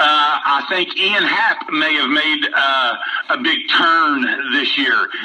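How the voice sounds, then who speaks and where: With an American accent, a man speaks very slowly at a very even loudness amid noticeable background noise. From West Virginia. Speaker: baseball fan caller. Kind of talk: casual sports chat.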